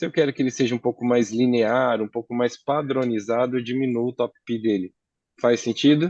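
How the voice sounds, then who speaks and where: Fairly even intonation from a man at a medium pitch, dry and close with no echo. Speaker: AI consultant teaching a client. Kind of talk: tutorial. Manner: fast.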